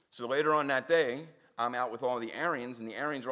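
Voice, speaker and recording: A man's bright, sharp voice at medium pitch, with a Philadelphia accent, ordinary pitch variation and a very fast pace. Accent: Philadelphia American English. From South Philadelphia, US. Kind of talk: public talk with storytelling. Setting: synagogue audience. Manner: animated.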